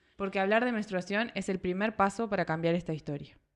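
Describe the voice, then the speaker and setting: A woman with a Uruguayan accent speaks at a fairly quick pace and a medium pitch. Her pitch variation is ordinary, and the background is quiet. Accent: Uruguayan Rioplatense Spanish. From Uruguay, Salto. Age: 30s. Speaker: podcast host. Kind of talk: scripted narration; casual chat.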